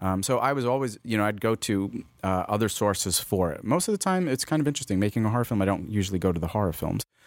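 With an American accent, a man talks at a very fast pace with hardly any pauses, his fairly low pitch showing ordinary variation. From New York, Queens. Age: 40s. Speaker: filmmaker and photographer. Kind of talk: casual interview chat. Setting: studio.

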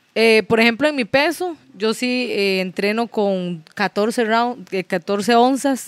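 The recording is very clean with a silent background and a dry, close sound with no echo. A woman with fairly high pitch speaks at a very slow pace. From Nicaragua (Managua), raised in Costa Rica. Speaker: professional boxer. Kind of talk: casual chat.

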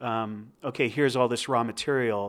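A normal speaking voice from a man with an American accent, fairly slow pace and ordinary pitch variation, on a very clean recording with a silent background. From New Jersey. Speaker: photographer. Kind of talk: casual interview. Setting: in person.

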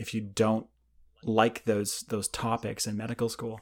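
In a Canadian accent, a man with a medium-pitched voice speaks at a moderate pace on a very clean recording with a silent background. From Canada, small town. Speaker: anesthesiologist, division chief. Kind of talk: interview. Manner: halting, many repetitions and fillers.

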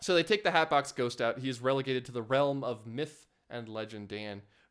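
A man talks at a medium pitch. He has a plain, everyday voice. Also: very clean recording, silent background. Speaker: podcast host. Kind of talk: casual chat.

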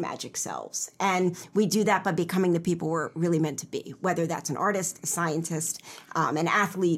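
Here is a woman with an American accent and an ordinary speaking voice at a medium pitch. She keeps a moderate pace with hardly any pauses. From Pennsylvania, Philadelphia suburbs. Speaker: novelist and writing program director. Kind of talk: interview.

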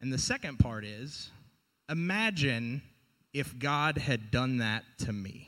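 Bright and sharp in tone, a man with an American accent speaks at a very slow pace in a medium pitch with lively intonation. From US South. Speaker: church podcast co-host. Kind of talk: casual faith discussion podcast.

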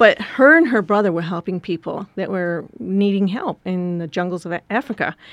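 A plain, everyday voice from a woman of medium pitch, with an American accent, a fairly quick pace, and ordinary pitch variation. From US Midwest, rural Wisconsin. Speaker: missionary leader. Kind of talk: interview.

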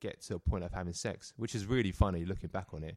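On a very clean recording with a silent background, a man in a London accent speaks very fast at a fairly low pitch with fairly even intonation. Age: 30s. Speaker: personal trainer. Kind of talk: casual chat. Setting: studio.

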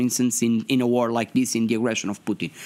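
A man speaks with a Portuguese accent. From Portugal. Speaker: member of European Parliament. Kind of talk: interview. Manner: halting, hesitant with fillers.

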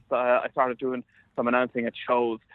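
A man talks with an Ulster border accent. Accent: Irish, Ulster border. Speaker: sports journalist and commentator. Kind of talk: interview. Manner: halting, repeats words.

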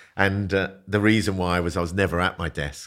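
A man with a London accent at a moderate pace, fairly even in intonation, on a very clean recording with a silent background. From South London. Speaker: business founder and CEO. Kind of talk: casual interview.

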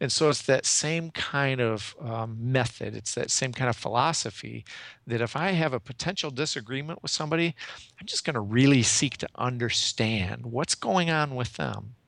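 In a very clean recording with a silent background, a man speaks in a plain, everyday voice. His pitch is medium, with ordinary variation, and his pace is moderate. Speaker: executive coach. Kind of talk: interview.

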